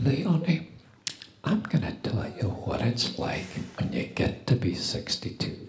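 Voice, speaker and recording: Very wide pitch swings mark this very slow delivery, broken by long, frequent pauses, with noticeable background noise and audible room echo. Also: man, fairly high pitch for a man. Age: 60s. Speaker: preacher. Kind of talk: sermon. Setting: church.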